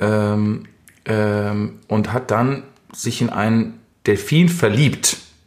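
A man speaks at a medium pitch. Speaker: podcast co-host. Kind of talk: casual chat. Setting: home recording.

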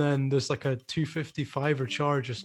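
On a very clean recording with a silent background, a somewhat breathy man speaks at a moderate pace and a fairly high pitch. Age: 30s. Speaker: podcast host and coffee shop owner. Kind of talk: casual chat.

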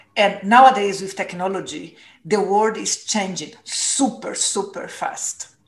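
A woman with a Portuguese accent at a very slow pace, medium in pitch, with ordinary pitch variation. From Brazil. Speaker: former corporate purpose executive. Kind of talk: interview.

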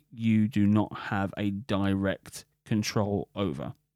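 A man with a British accent speaks in a fairly low pitch with a dark, mellow tone. The recording is very clean with a silent background and a dry, close sound with no echo. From UK. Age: 40s. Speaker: podcast host. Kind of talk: solo monologue podcast.

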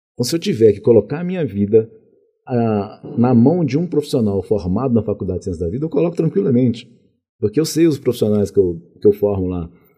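A man talks at a very fast pace with a medium pitch that swings very widely. His tone is dark and mellow, and somewhat breathy. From Minas Gerais, Brazil (Contagem; early childhood in Rio de Janeiro). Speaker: college director and administration professor. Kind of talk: interview conversation.

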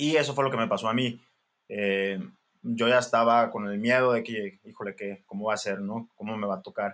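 A man talks at a moderate pace in a plain, everyday voice of medium pitch with fairly even intonation, on a very clean recording with a silent background. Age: 20s. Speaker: general practitioner doctor. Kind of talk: casual interview.

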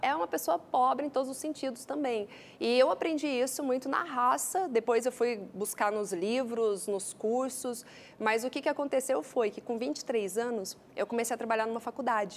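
High-pitched woman's voice in a Goiânia accent, with lively intonation. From Brazil, Goiânia. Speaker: entrepreneur and speaker. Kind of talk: interview.

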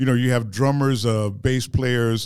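A man with a plain, everyday voice speaks at medium pitch. His pitch variation is ordinary. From Dallas, Texas. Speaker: musician. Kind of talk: interview. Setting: studio.

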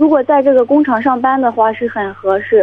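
Moderate-paced female speech with typical pitch movement. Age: 20s. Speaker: caller, factory worker. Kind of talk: phone-in advice call. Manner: halting, many fillers.

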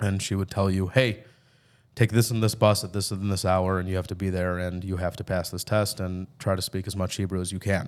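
A man with a Chicago accent speaks at a fairly quick pace in a very deep, low pitch and monotone, flat intonation. The recording is very clean, with a silent background. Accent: Chicago American English. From US Midwest (Chicago). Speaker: army veteran. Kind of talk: casual chat. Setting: studio.

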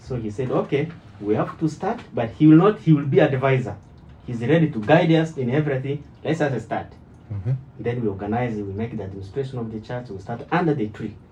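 Dark and mellow in tone, a man's somewhat breathy voice moves at a fairly quick pace with lively intonation and big swings in loudness. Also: medium pitch for a man. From DR Congo (Kinshasa). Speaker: church member and former preacher. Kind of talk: testimony. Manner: halting.

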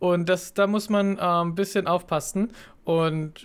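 Pitched high for a man, his voice keeps a fairly even intonation. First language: not German (speaking German). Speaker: fitness podcast co-host, fitness trainer. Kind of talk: casual chat. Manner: halting, many fillers.

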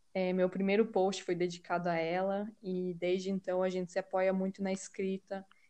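The voice is dark and mellow, delivered in a flat monotone at a moderate pace. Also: woman, medium pitch for a woman. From Brazil, Curitiba. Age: 20s. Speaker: podcast co-host. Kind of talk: casual chat.

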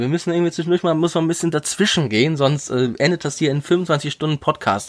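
This man has a normal speaking voice with a fairly high pitch. He talks at a fairly quick pace. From Wuppertal, Germany. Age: 30s. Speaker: actor and podcast co-host. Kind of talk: casual chat. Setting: remote recording.

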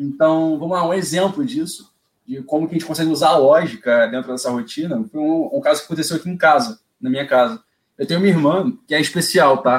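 Quick-paced and fairly high for a man, his voice carries lively intonation. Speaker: automation engineer. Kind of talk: casual live stream chat. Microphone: echo on the stream.

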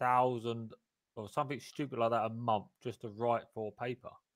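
A man's ordinary speaking voice at a medium pitch and a moderate pace. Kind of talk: casual live panel discussion. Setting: live stream, online.

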